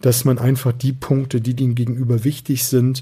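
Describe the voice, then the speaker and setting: A man's somewhat breathy voice, medium in pitch, with a dark, mellow tone. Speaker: sales and persuasion coach, podcast host. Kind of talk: solo podcast monologue, coaching tips.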